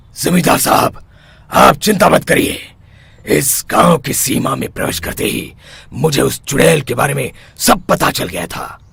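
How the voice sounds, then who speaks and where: In a cartoonish character voice, a man talks at a moderate pace, his fairly high pitch making very wide swings up and down. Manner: assured, authoritative.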